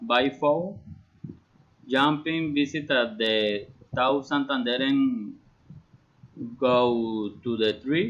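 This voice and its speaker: A man with a Colombian accent and a medium pitch talks at a very slow pace, with long, frequent pauses and very even loudness. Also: ordinary pitch variation. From Colombia, Bucaramanga. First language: Spanish. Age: 30s. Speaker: engineering student. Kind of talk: prepared self-introduction in a learned language. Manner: halting, with repetitions.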